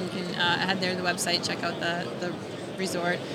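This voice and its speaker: There is noticeable background noise behind this woman. She talks at a moderate pace with an American accent. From Wisconsin, US Midwest. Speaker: fishing TV host and resort owner. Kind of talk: casual interview chat.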